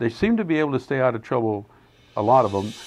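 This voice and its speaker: A man with a plain, everyday voice and an American accent talks at a medium pitch with lively intonation. The background is quiet. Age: 60s. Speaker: retired mayor and Vietnam veteran. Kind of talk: interview monologue.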